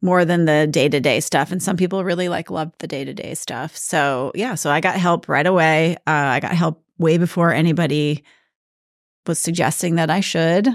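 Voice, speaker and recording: With an American accent, a woman speaks at a moderate pace in a fairly low pitch with ordinary pitch variation, in a very clean recording over a silent background. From northern Minnesota, rural. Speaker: real estate business owner. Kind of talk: interview. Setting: podcast recording. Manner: animated.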